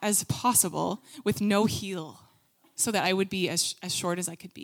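With a plain, everyday voice, a woman talks at a moderate pace. Her pitch is fairly low with ordinary variation. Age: 20s. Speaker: youth ministry leader. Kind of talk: sermon. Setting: stage with audience.

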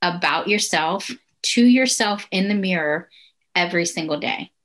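A normal speaking voice from a woman, medium in pitch, at a fairly slow pace with ordinary pitch variation. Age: 40s. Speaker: life coach. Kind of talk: interview testimony.

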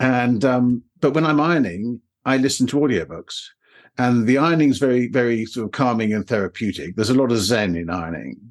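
A man with a British accent speaks at a fairly quick pace in a medium pitch. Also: lively intonation, quiet background. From England. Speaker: online course creator, former banker. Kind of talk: interview, conversational. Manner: hesitant, with fillers.

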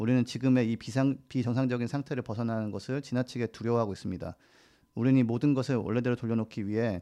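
A man talks very fast at a medium pitch, his dark, mellow tone held in fairly even intonation over a quiet background. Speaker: climate campaigner. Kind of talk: casual chat.

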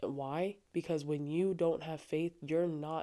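Soft-spoken and very deep in pitch, a woman talks fairly slowly in a dark, mellow tone with fairly even intonation, on a very clean recording with a silent background. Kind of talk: casual faith talk. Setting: home recording with headphones.

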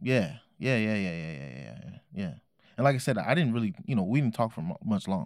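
A man with an American accent, vocal fry, very wide pitch swings and a fairly quick pace. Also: fairly low pitch for a man, big swings in loudness, very clean recording, silent background. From Oakland, California. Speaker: hip hop artist. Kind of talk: casual interview.

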